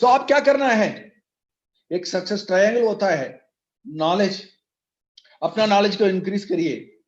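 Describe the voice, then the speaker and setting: A man's high-pitched voice with ordinary pitch variation, in a Tamil accent. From Tamil Nadu, South India. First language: Tamil (speaking Hindi). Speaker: network marketing leader. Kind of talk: motivational speech.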